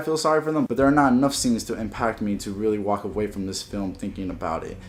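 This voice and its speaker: A man speaks very fast at a fairly low pitch. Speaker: movie reviewer. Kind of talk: casual talk to camera. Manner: low, monotone.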